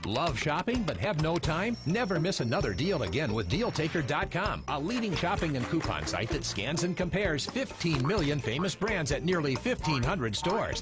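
Music in the background and a man with fairly high pitch, very wide pitch swings and very even loudness, at a moderate pace with hardly any pauses. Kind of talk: TV commercial read.

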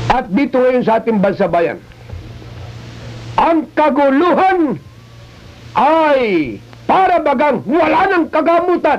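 Pitched extremely high, a man speaks at a very slow pace with long, frequent pauses. His pitch swings very widely. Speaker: radio news commentator. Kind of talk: radio news commentary. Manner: emphatic, rhetorical. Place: studio. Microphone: old recording.

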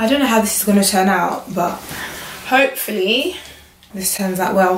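A woman speaks at a medium pitch. Strong echo fills the room.

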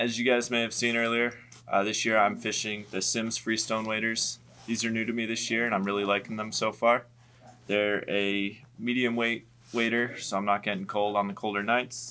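At a moderate pace, a man speaks in a monotone, flat intonation with a bright, sharp tone. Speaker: shop staff gear reviewer. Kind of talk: product walkthrough. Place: shop. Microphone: camera far.

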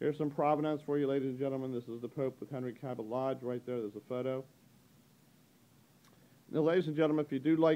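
A man's dark, mellow voice at a very fast pace, broken by long, frequent pauses. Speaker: auctioneer. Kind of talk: auction preview walkthrough narration to camera. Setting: recorded on location in an auction gallery. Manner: casual, upbeat, brisk. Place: shop. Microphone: phone near.

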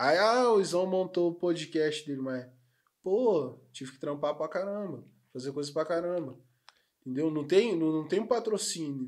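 Against a quiet background, a man speaks at a fairly slow pace in a high voice. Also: ordinary pitch variation. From Rio de Janeiro state, Brazil. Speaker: podcast host; podcast guest. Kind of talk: casual chat. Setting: studio. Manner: slangy, animated. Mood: relaxed, joking. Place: studio. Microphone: studio mic.

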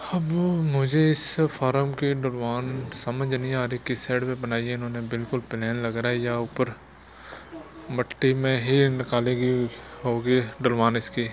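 Faint background noise sits behind a man speaking at a fairly slow pace, his medium pitch showing little movement.

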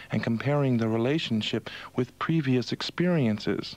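Here a man talks at a fairly quick pace with lively intonation. The sound is dry, with no echo. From Montreal, Canada. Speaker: radio host, disc jockey. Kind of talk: radio broadcast, overnight show host. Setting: radio studio, 1982 broadcast. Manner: smooth, upbeat. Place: studio.

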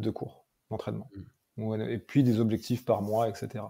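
At a moderate pace, a man speaks at a medium pitch in a dark, mellow tone that is somewhat breathy. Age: 30s. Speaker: mental coach and MMA trainer. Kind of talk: interview.

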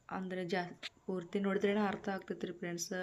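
The speaker is a woman. Her pitch is medium. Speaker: vlogger. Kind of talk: casual vlog narration and cooking tutorial. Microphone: no microphone, voice not clear.

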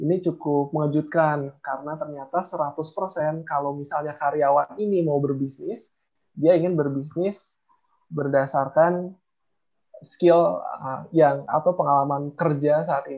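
A man speaks at a very slow pace with a fairly high pitch and fairly even intonation. The background is quiet. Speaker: software company CEO; presenter. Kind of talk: book review presentation. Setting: video call. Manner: calm and even, not explosive. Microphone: unstable internet connection; video call.

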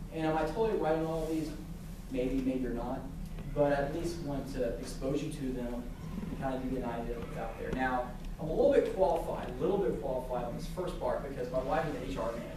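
With noticeable background noise and audible room echo, a man speaks very fast with ordinary pitch variation. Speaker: guest speaker from a sports apparel company. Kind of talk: lecture. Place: classroom. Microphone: camera far.

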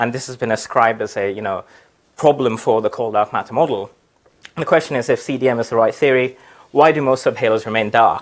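Speaking at a fairly quick pace, a man shows ordinary pitch variation. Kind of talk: lecture. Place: classroom.

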